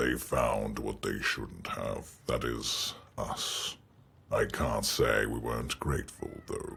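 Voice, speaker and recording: In a put-on character voice, a man delivers his lines at a very slow pace. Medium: game stream. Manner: smug, mocking.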